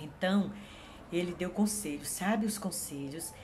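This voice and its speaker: A woman's fairly low voice at a moderate pace with fairly even intonation, plus audible room echo and noticeable background noise. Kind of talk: Bible devotional talk. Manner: halting, with many fillers.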